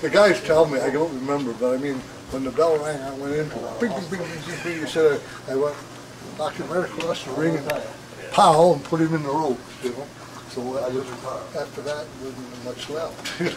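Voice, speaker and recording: With an American accent, a man talks at a fairly quick pace in a fairly high pitch, with ordinary pitch variation. Noticeable background noise and audible room echo come through. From Washington State, US. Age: 70s. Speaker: family elder interviewee. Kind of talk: oral history interview. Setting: family reunion. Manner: halting.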